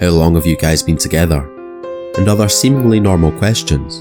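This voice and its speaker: A man with a Scottish accent, very deep and low in pitch, his intonation lively, over music in the background. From Scotland. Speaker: horror narrator. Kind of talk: horror story narration.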